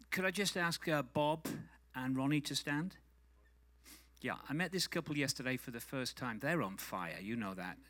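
This man's voice sits fairly high, with a bright, sharp tone and lively intonation at a moderate pace. He leaves long, frequent pauses, and the recording is very clean with a silent background. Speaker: conference speaker. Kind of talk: encouraging talk to audience.

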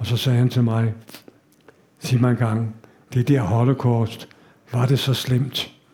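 Speaking at a very slow pace with long, frequent pauses, a man keeps a medium pitch and a monotone, flat intonation. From Denmark, Copenhagen. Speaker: Holocaust survivor. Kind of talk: lecture. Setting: stage with audience.

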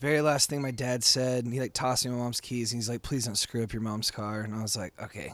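The man speaks at a very fast pace. His intonation is fairly even. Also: medium pitch for a man. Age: 30s. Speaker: musician and bar owner. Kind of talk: casual chat. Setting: recorded in a bar.

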